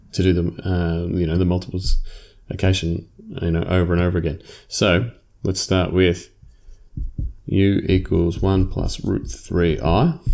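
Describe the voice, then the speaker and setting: A man with an Australian accent speaks in a very deep, low voice with a dark, mellow tone. His intonation is fairly even and his pace fairly slow, on a very clean recording with a silent background. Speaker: maths teacher. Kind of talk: lecture. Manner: casual, with fillers.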